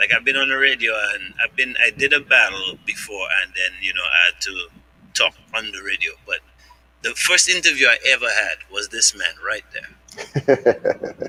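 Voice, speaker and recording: A man talks at a moderate pace. The sound is dry and close with no echo, and background noise is noticeable. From Canada. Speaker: podcast host. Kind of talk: interview.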